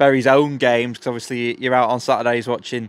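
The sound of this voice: A man speaks in a clear, smooth tone with little pitch movement.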